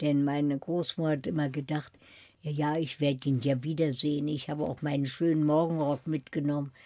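Her voice is very deep and low, dark and mellow. The woman speaks at a fairly quick pace in a flat monotone. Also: very clean recording, silent background. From Germany, Berlin. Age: 80s+. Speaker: Holocaust survivor, author. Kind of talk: radio interview.

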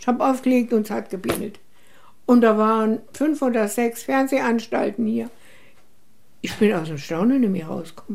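Her voice is fairly high-pitched for a woman, with a dark, mellow tone. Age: 80s+. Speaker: women's rights activist. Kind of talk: interview. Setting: at her home.

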